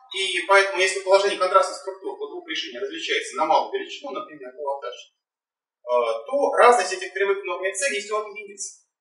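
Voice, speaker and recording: Over faint background music and audible room echo, a man talks at a very fast pace with big swings in loudness. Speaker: doctoral candidate defending dissertation; candidate. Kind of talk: academic presentation. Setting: in-person council meeting room. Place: hall. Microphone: camera far.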